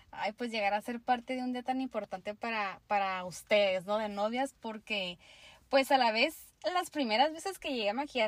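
Dry, close sound with no echo, a woman at a moderate pace. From Mexico, Tijuana, Baja California. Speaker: makeup artist. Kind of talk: casual interview chat.

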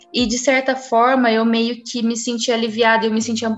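A woman's fairly high voice comes out in monotone, flat intonation. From Franca, São Paulo state, Brazil. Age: 20s. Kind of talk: personal testimony.

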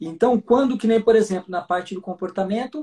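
A man talks at a moderate pace with ordinary pitch variation. His voice has a dark, mellow tone. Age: 40s. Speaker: horse trainer. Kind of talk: live video chat.

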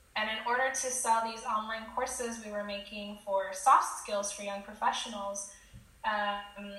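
A woman's fairly high voice with a Californian accent, fairly even intonation and a fairly slow pace, amid audible room echo and noticeable background noise. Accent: Californian American. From California, Silicon Valley. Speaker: entrepreneur, LinkedIn marketing agency founder. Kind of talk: interview.

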